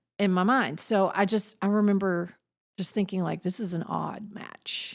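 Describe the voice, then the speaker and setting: Speaking with a Southern US accent, a woman keeps her intonation fairly even. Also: medium pitch for a woman. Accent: Southern US drawl. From Southern United States. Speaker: podcast co-host. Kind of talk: casual podcast conversation.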